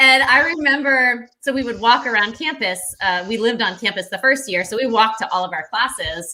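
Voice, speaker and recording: With a bright, sharp tone, the voice moves at a fairly quick pace through very wide pitch swings. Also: woman. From New England, Rhode Island. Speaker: podcast host. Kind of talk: interview. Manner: fast.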